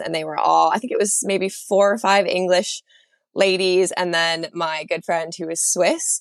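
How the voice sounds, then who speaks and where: Her intonation fairly even, a woman talks at a medium pitch and a moderate pace. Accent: New York. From upstate New York, US. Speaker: graphic designer turned psychology student. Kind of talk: casual interview chat.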